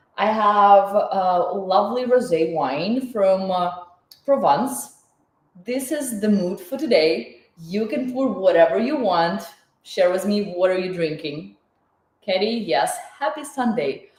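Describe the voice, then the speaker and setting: Lively in intonation, a woman with a medium pitch talks at a very slow pace amid audible room echo. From Ukraine. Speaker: chef and cooking teacher. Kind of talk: live online cooking class. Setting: home kitchen, livestream. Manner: animated.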